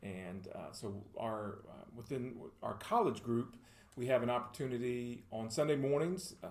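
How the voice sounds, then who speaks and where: In a Middle Tennessee accent, a man talks at a moderate pace and medium pitch with ordinary pitch variation, in a room with audible echo. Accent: Southern US (Middle Tennessee). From Tennessee (Murfreesboro). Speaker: pastor. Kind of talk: casual chat. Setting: studio.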